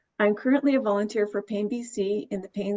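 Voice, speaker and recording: This woman has an ordinary speaking voice at a medium pitch with ordinary pitch variation. She talks at a fairly quick pace. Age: 60s. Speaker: retired nurse, patient. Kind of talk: interview.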